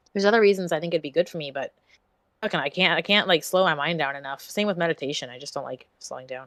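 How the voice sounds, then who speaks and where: Talking at a very fast pace, a woman uses a fairly low pitch with ordinary pitch variation. Her loudness swings widely, and she leaves long, frequent pauses. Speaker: streamer. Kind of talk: casual chat.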